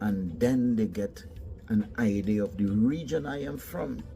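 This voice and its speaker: Music plays in the background. A man with an American accent talks with lively intonation. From Trinidad. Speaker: traveler sharing experiences. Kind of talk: casual monologue. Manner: conversational, repetitive, animated.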